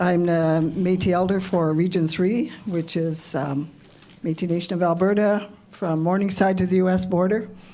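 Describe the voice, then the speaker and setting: With audible room echo, a woman of medium pitch talks at a moderate pace, her intonation fairly even and her loudness very even. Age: 70s. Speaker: community elder. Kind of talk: introduction and prayer.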